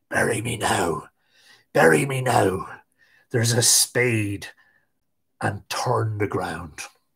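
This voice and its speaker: A raspy, whispered put-on character voice moves at a very slow pace with long, frequent pauses. The recording is very clean, with a silent background. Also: man. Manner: whispering, terse, commanding.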